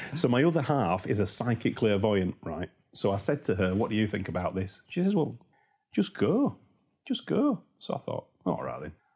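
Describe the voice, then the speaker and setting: With a Yorkshire accent, a man speaks at a moderate pace and medium pitch, somewhat breathy and dark and mellow in tone, his pitch swinging very widely. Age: 50s. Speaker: property investor. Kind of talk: interview. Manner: animated.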